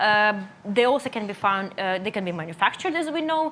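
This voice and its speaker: A woman speaks in a Russian accent. Her intonation is lively. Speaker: nutritionist. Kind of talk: lecture. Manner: halting.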